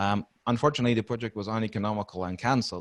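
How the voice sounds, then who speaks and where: A man with a Dutch accent, fairly low in pitch and very fast in pace. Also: very clean recording, silent background. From Netherlands. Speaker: maintenance and reliability consultant. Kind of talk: podcast interview.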